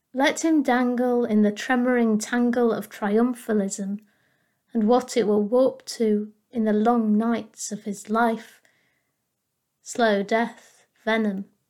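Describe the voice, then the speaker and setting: Over a very clean recording with a silent background, a woman with a fairly high pitch speaks very slowly in a solemn tone with monotone, flat intonation. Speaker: poet. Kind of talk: poetry reading, spoken word. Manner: measured, aching, solemn.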